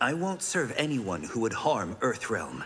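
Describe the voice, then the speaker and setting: A man's put-on character voice at medium pitch, with very wide pitch swings, a moderate pace and clear background noise. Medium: video game. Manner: calm, dignified.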